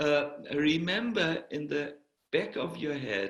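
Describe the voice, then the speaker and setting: Speaking at a very slow pace, a man with a fairly high pitch has a slight German accent. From Germany. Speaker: spiritual teacher, monk. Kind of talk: Q&A at online spiritual retreat. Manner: hesitant, many fillers.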